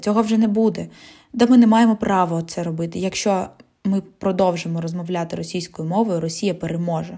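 The speaker has a Russian accent and a dark, mellow tone. The pace is fairly quick. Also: woman. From Zaporizhzhia, south-eastern Ukraine. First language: Russian (speaking Ukrainian). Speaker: podcast host. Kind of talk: solo podcast monologue.

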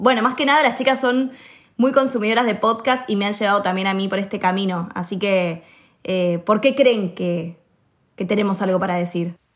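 With ordinary pitch variation and a moderate pace, this is an unremarkable speaking voice. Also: woman, medium pitch for a woman. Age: 20s. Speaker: actress and podcast host. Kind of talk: casual chat.

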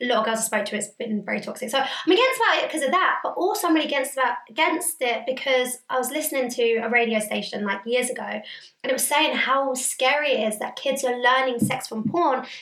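The talking goes at a very fast pace with ordinary pitch variation. Noticeable background noise runs underneath. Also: woman, high pitch for a woman. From Indian heritage. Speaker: podcast co-host. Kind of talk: casual chat.

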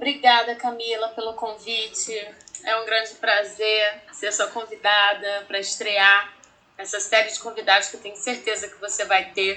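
Amid noticeable background noise, a woman speaks with a Rio de Janeiro accent at a moderate pace. Her fairly high voice is monotone and flat in intonation, with big swings in loudness. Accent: Carioca Brazilian Portuguese. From Rio de Janeiro, Brazil. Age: 30s. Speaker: teacher. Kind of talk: podcast interview.

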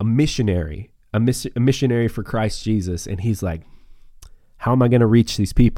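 A man's dark, mellow tone with an American accent, on a very clean recording with a silent background. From northeast Montana. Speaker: podcast host and preacher. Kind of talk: casual chat. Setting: studio.

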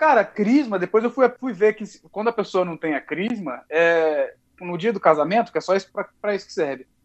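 A man speaks at a moderate pace with hardly any pauses, his voice high and his intonation lively. His loudness swings widely, and the sound is dry and close with no echo. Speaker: podcast guest. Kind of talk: casual chat.

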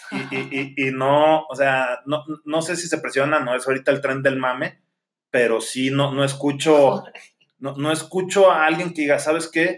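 A man with a normal speaking voice, fairly high in pitch, with fairly even intonation and a fairly slow pace. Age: 30s. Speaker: podcast co-host. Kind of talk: casual chat.

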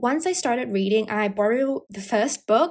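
A woman speaks with an American accent. Her pitch is fairly high. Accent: mostly American with some British. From Asia, half British. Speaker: university student podcaster. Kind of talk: casual solo podcast monologue. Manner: chatty, laughs often.

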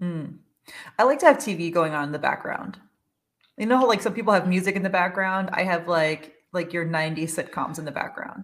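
A woman talks in a plain, everyday voice at a fairly low pitch. Her pace is fairly quick and her pitch variation ordinary. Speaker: podcast host and dietitian. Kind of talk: casual chat. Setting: recording a podcast.

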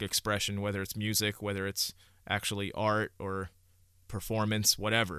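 A man with a New York accent and a bright, sharp tone, on a very clean recording with a silent background. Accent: New York area American. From Hudson Valley, New York. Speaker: music podcaster. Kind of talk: solo podcast monologue. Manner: casual, many filler uhs.

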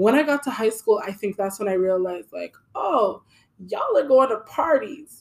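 At a moderate pace, a woman speaks with fairly high pitch and lively intonation. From Canada. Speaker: podcast co-host. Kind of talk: casual chat.

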